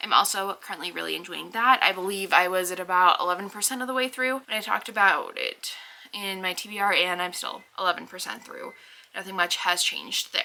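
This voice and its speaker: The speaker has an American accent and a fairly quick pace, with vocal fry. The tone is bright and sharp, with ordinary pitch variation. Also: woman, medium pitch for a woman. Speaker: book vlogger. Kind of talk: casual vlog talk. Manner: chatty, with fillers.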